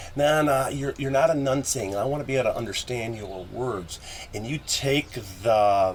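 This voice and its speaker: Over noticeable background noise, a man talks at a moderate pace. His pitch is medium, with ordinary variation. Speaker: musician. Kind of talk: casual chat.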